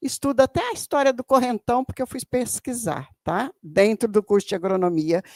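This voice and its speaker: A woman with a fairly high pitch and an animated tone makes very wide pitch swings, recorded very cleanly with a silent background and a dry, close sound with no echo. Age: 70s. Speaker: audience member, retired educator. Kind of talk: audience comment at public debate. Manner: halting.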